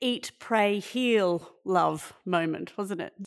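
A woman's voice with an Australian accent and ordinary pitch variation. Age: 40s. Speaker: podcast host. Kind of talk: interview.

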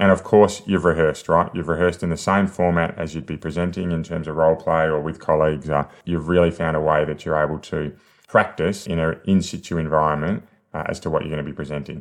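With an Australian accent, a man talks very fast in a very deep, low voice. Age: 40s. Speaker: sales coach and podcast host. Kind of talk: solo podcast monologue, coaching. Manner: energetic, conversational.

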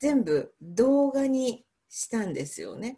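On a very clean recording with a silent background, a woman speaks at a very slow pace in a dark, mellow tone. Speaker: English pronunciation coach. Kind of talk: interview.

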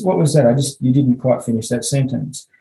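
A man with an Australian accent speaks at a very fast pace. His voice is somewhat breathy, with a dark, mellow tone. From Western Australia. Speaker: clinical psychologist. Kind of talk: casual interview.

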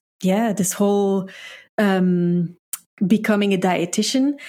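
A woman's dark, mellow voice at a medium pitch, with fairly even intonation and a fairly slow pace, on a very clean recording with a silent background. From Belgium. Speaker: dietitian. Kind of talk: casual interview. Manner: halting, hesitant.

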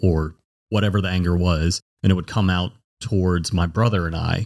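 Very clean recording and silent background for a man's very deep, low voice. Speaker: podcast guest sharing personal story. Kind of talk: personal testimony in casual chat.

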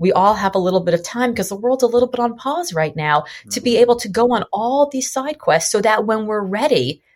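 A woman's high-pitched, very fast speech with lively intonation. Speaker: author and entrepreneur. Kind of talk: interview podcast. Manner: high energy.

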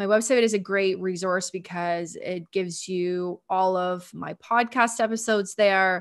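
A woman with a Canadian accent in a normal speaking voice, medium in pitch, fairly slow and fairly even, with hardly any pauses, on a very clean recording with a silent background. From Ontario, Canada. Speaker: sales and energy mentor. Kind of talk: casual interview.

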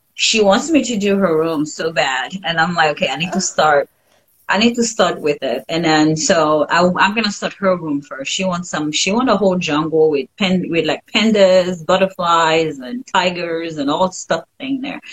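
In a Haitian accent, a woman with a fairly low pitch talks at a moderate pace with lively intonation and hardly any pauses. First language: French. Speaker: painter, former engineer, stay-at-home mom. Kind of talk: casual interview chat. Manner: laughs often.

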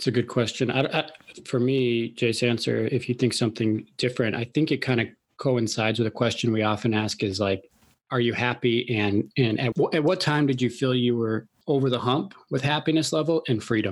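On a very clean recording with a silent background, a man with an American accent and an unremarkable speaking voice talks at a fairly quick pace and medium pitch, with ordinary pitch variation and very even loudness. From Chicago, US Midwest. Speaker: podcast host interviewing millionaires. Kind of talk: casual interview chat.

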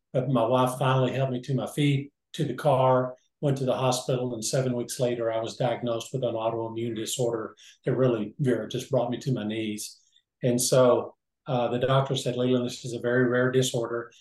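A man's somewhat breathy, medium-pitched voice with monotone, flat intonation at a fairly quick pace. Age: 70s. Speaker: businessman, former orthopedic assistant. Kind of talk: interview.

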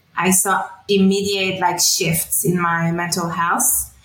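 Noticeable background noise surrounds a woman speaking at a medium pitch with a French accent. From France, then Middle East from age 12. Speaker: wellness coach. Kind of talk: interview testimony.

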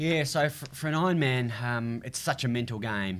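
With an Australian accent, a man talks at a moderate pace and medium pitch with ordinary pitch variation, on a very clean recording with a silent background. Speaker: TV and radio racing presenter, triathlete. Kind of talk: casual interview.

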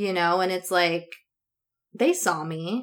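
On a very clean recording with a silent background, a woman speaks at a medium pitch in a bright, sharp tone with fairly even intonation. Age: 30s. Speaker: podcast host and lifestyle coach. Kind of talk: casual chat.

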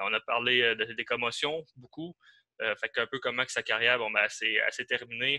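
A man with an Abitibi Quebec accent, medium-pitched with a bright, sharp tone, fairly slow and fairly even in intonation, in a dry, close sound with no echo. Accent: regional Abitibi Quebec. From Quebec, Val-d'Or (Abitibi). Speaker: podcast co-host. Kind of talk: casual interview.

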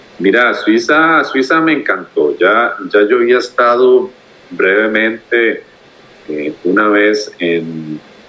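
Very slowly, a man with a Costa Rican accent speaks. His medium-pitched voice has lively intonation. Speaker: podcast guest, traveler. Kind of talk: casual interview. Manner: hesitant with frequent fillers and repetitions.

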